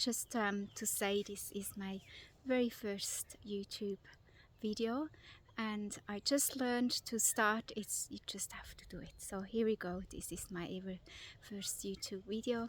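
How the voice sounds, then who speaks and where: With a non-native accent, a woman speaks at a fairly slow pace. Her pitch is fairly high and her intonation fairly even. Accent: foreign. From Switzerland. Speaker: vlogger. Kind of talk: casual vlog. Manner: hesitant, with fillers.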